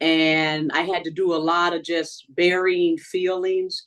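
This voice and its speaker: A woman speaks in an ordinary speaking voice. Her pitch is fairly low and her intonation fairly even. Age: 60s. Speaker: reality show contestant. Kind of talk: interview.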